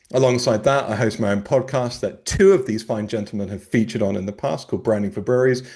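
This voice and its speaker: With a British accent, a man talks at a very fast pace and medium pitch. His pitch variation is ordinary, and the background is quiet. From UK. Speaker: brand strategist and podcast host. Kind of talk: panel discussion. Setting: video call. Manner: jokey, playful.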